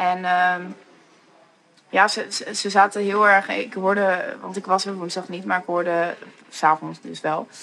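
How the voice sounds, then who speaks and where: A woman's bright, sharp voice, flat and monotone, at a fairly slow pace with long, frequent pauses and big swings in loudness. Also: medium pitch for a woman. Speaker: festival organizer. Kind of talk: casual interview.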